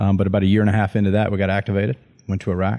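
Over a silent background in a very clean recording, a man with a Southern US accent speaks at a fairly low pitch in a dark, mellow tone. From US Deep South. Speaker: Marine officer. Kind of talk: casual chat.

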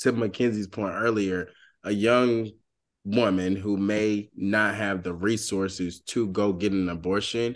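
With an American accent, a man talks in a plain, everyday voice at a fairly slow pace and with fairly even intonation, against a quiet background. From US South, Georgia. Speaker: podcast co-host. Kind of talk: casual chat.

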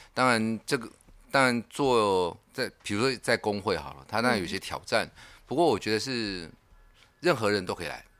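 An unremarkable speaking voice from a man at medium pitch, moderate pace and lively intonation, with big swings in loudness, on a very clean recording with a silent background. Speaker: union secretary. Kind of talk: casual chat.

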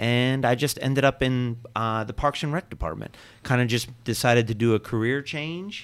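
A man with a normal speaking voice, medium in pitch, talks at a moderate pace with ordinary pitch variation. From Pennsylvania (military family, moved around). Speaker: parks and recreation director. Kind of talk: interview.

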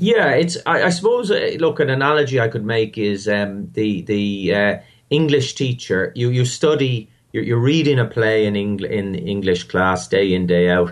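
An Irish accent with lively intonation at a moderate pace. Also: man, medium pitch for a man. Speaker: maths festival founder. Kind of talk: interview.

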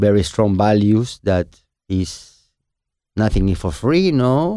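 A man with a Peruvian accent, dark and mellow in tone, fairly low in pitch, at a fairly slow pace, on a very clean recording with a silent background. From Peru, Lima. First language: Spanish. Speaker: chef and restaurant owner. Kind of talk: casual interview. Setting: studio.

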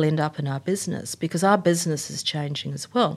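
In a very clean recording with a silent background, a speaker with a New Zealand accent talks at a fairly quick pace. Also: woman. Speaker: tech company executive. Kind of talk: interview.

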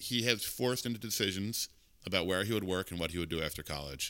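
Speaking very fast in an American accent, a man uses a fairly low pitch with lively intonation and a bright, sharp tone. The recording is very clean, with a silent background. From US Northeast, suburban Philadelphia. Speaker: executive chef. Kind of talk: interview.

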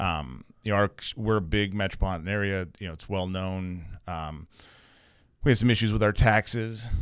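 Very deep and low, a man's voice with an American accent shows ordinary pitch variation and big swings in loudness, recorded very cleanly against a silent background. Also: moderate pace. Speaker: property management business owner. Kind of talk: casual chat.

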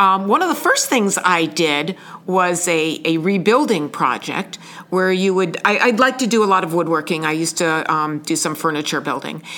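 This woman has an unremarkable speaking voice with fairly low pitch. She talks at a moderate pace with lively intonation. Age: 60s. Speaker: senior volunteer, retiree. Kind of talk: interview.

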